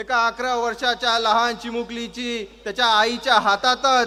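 A man speaks in a raised, projected voice at an extremely high pitch. His intonation stays monotone and flat. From Kalyan, Maharashtra, India. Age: 20s. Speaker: political party youth official and lawyer. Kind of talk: political rally speech. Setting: public rally with crowd. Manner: loud, rousing oratory.

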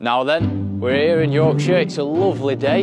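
A man at a moderate pace, clear music in the background, dry sound with no echo. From Yorkshire, England. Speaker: professional cyclist. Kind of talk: casual talk to camera. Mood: cheerful, jokey. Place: street.

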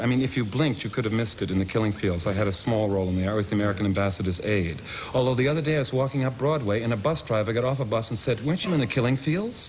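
Over light background noise, a man speaks at a very fast pace with very even loudness and ordinary pitch variation. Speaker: talk show guest. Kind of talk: interview answer, anecdotal storytelling. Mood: wry, self-deprecating. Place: studio.

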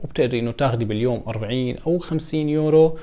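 Over a quiet background, a man talks at a moderate pace. His tone is dark and mellow. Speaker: vlogger. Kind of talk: casual vlog chat. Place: home room.

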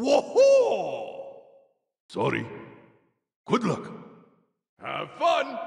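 Extremely high in pitch, a put-on character voice comes through with slight echo. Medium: dub.

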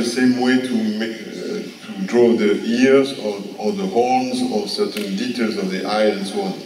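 A man speaks at a very slow pace with audible room echo and light background noise. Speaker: prehistorian and artist; guest lecturer. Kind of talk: Q&A answer. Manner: halting. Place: hall. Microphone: podium.

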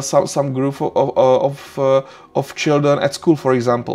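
Speaking with a non-native accent, a man keeps his intonation monotone and flat. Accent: non-native English speaker. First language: Czech. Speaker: university lecturer. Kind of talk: lecture. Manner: hesitant, many filler sounds. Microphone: webcam.

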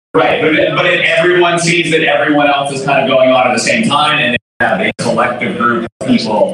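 Lively intonation at a fairly quick pace, with strong room echo and noticeable background noise. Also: man. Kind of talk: announcement to room. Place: hall. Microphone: camera far.

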